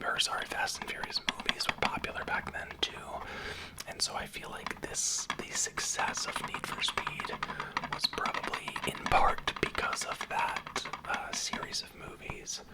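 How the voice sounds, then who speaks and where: A fairly slow whisper with noticeable background noise behind it. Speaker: ASMR creator. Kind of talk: ASMR whisper. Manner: whispered.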